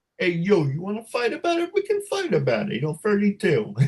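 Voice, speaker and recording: Putting on a character voice, a man talks at a high pitch and a fairly quick pace. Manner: joking, playful.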